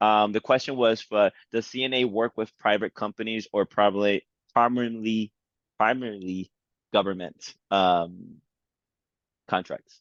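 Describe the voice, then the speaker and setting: An American accent at a moderate pace, with fairly even intonation and long, frequent pauses. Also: man, fairly low pitch for a man. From New York. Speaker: event host. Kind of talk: panel moderation.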